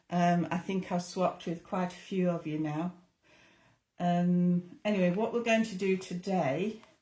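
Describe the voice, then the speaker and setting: In a northern English accent, a dark, mellow, somewhat breathy voice moves at a fairly slow pace with fairly even intonation. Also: woman, fairly low pitch for a woman. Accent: English (northern England). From northern England. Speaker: craft tutor. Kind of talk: tutorial.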